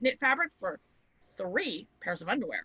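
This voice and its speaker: A woman's raised, projected voice, high-pitched with a bright, sharp tone, at a moderate pace in a dry, close sound with no echo. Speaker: crafting channel co-host. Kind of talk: casual chat.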